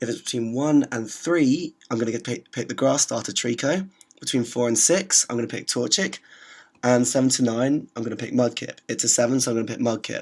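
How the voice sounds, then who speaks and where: Talking at a fairly quick pace, a man with a British accent uses a medium pitch and ordinary pitch variation. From Britain. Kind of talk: gameplay commentary. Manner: hesitant, filler-heavy.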